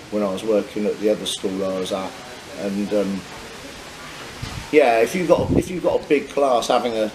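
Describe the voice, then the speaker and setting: Speaking with a Norfolk accent at a medium pitch and moderate pace, a man is heard over noticeable background noise. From Norfolk, England. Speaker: English teacher, travel vlogger. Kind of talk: casual chat. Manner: halting, repetitive.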